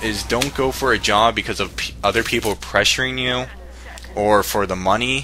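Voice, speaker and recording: Medium-pitched male voice at a moderate pace, with music playing in the background. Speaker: YouTuber. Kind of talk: response video advice monologue. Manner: halting; casual.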